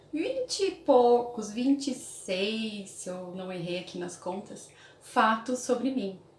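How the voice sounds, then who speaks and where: A woman speaks with a fairly high pitch and ordinary pitch variation. Some room echo can be heard. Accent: Brazilian. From Brazil. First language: Portuguese. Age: 30s. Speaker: English teacher and YouTuber. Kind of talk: casual vlog talk.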